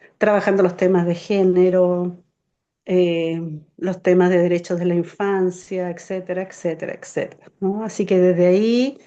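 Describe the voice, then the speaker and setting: A woman speaks at a fairly slow pace. Her intonation is flat and monotone. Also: medium pitch for a woman. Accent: Chilean. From Chile, Santiago. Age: 60s. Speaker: community organizer. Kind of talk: interview.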